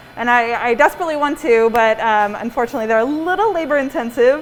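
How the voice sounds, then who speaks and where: A woman speaks in a high voice. Background noise is noticeable. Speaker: pastry chef and bakery owner. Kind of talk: cooking demonstration class. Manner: soft-spoken; mumbling. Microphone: muffled by face mask.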